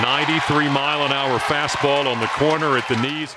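There's clear background noise as a man talks. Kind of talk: live baseball play-by-play commentary. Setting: baseball stadium broadcast. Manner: dramatic, building to a climax at the finish.

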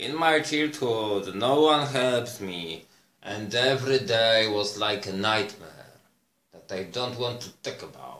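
A man with a Polish accent, a bright, sharp tone, ordinary pitch variation and a very slow pace, with audible room echo. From Poland. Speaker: vlogger. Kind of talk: monologue to camera. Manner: halting. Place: home room. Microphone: phone near.

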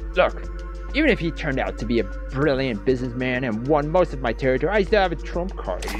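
A man's gravelly, put-on character voice at a fairly quick pace, with clear music in the background

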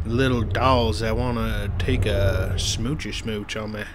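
A man at a fairly slow pace with ordinary pitch variation, amid noticeable background noise. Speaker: gaming video host. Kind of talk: casual let's-play commentary.

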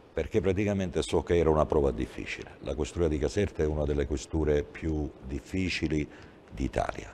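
A man with a very deep, low pitch, dark, mellow tone, vocal fry, ordinary pitch variation and a fairly quick pace, over light background noise. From Sicily, Agrigento; Sicily. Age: 60s. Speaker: police chief; guest. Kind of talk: TV interview. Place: studio.

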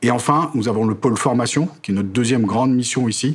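A man's pitch varies in an ordinary way as he talks fairly quickly, with light background noise behind him. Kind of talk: interview answer. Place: office. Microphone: lapel.

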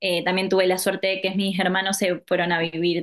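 With an Argentine accent, a woman speaks at a fairly low pitch against a quiet background. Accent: Argentine Spanish (voseo). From Argentina, La Pampa (Santa Rosa); La Pampa, Argentina. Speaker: yoga instructor; interviewee. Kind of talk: interview; interview answer. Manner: hesitant, many fillers. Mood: warm, reflective. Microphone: video call.

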